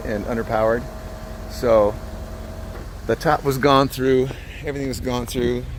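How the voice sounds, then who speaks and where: A man is talking. Noticeable background noise can be heard. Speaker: car seller. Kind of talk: casual walkaround video.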